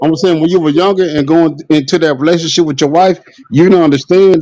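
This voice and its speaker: This man's dark, mellow tone comes at a moderate pace. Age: 30s. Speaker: live stream participant. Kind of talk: casual chat. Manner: animated.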